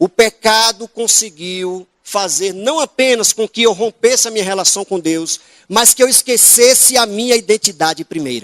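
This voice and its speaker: A man speaks at a moderate pace in a high pitch, with hardly any pauses. The sound is dry and close, with no echo. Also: ordinary pitch variation. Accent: northeastern Brazilian. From Northeast Brazil. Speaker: preacher. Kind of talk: sermon.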